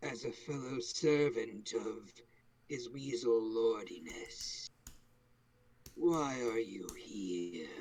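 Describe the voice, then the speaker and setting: A man puts on a raspy character voice at medium pitch. He goes at a very slow pace with long, frequent pauses. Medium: actual play. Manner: cold, detached.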